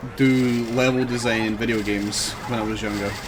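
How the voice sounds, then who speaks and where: With a Scottish accent, a man speaks at a moderate pace and medium pitch amid noticeable background noise and audible room echo. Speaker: video game streamer. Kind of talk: live gameplay commentary. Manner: casual, conversational.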